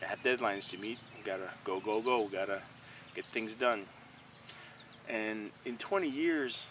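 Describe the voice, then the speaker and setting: A man with a Quebec accent at medium pitch, fairly slow pace and long, frequent pauses. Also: ordinary pitch variation. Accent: French Canadian accent in English. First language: French. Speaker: painter. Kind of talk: casual vlog monologue. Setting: outdoors by a stream. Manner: halting, many fillers.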